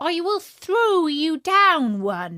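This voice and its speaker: Putting on a character voice, she pushes her pitch extremely high. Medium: read story. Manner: polite, plucky.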